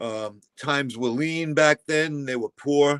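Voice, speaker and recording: With an American accent, the voice has a bright, sharp tone and fairly even intonation, recorded dry and close with no echo. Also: man. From Massachusetts, Fall River. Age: 60s. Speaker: former teacher and school board member. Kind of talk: interview.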